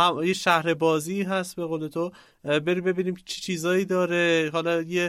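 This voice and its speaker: A man's high-pitched voice in a flat monotone at a moderate pace, in a very clean recording with a silent background. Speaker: agile coach and podcaster. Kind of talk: casual chat.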